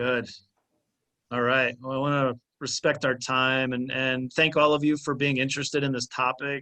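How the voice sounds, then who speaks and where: A man's medium-pitched voice with an American accent, bright and sharp in tone, flat and monotone at a moderate pace. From US, Maryland area. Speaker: workshop presenter, nonprofit director. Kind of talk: conference workshop wrap-up.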